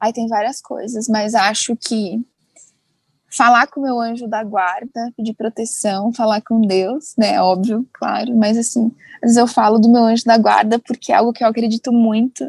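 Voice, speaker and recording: A woman's fairly high voice with fairly even intonation at a moderate pace, dry and close with no echo. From Brazil, interior of São Paulo state. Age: 20s. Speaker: TV reporter. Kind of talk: casual interview chat.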